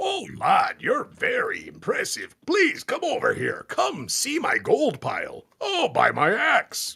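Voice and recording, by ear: In a put-on character voice with an extremely high pitch, the speaker sounds gravelly, gruff, and raspy at a fairly slow pace.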